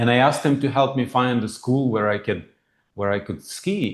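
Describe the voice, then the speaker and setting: The background is quiet as a man speaks. He keeps a moderate pace with ordinary pitch variation. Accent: slight non-native. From former Soviet Union. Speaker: financial planner and humanitarian founder. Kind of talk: interview.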